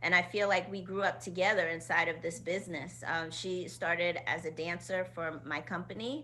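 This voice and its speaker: A woman speaks with a fairly low pitch and a bright, sharp tone. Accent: American. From Queens, New York. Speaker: choreographer and dance company director. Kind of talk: casual interview chat.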